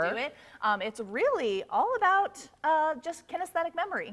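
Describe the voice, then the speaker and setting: The voice moves in very wide pitch swings with an upbeat tone at a moderate pace, over noticeable background noise. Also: woman, extremely high pitch for a woman. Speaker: TV news reporter and anchor. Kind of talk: casual on-air banter. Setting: TV news broadcast.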